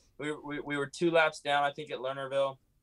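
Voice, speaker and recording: He speaks with an American accent at a medium pitch. The man has an ordinary speaking voice. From California. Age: 20s. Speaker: racing driver. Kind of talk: interview.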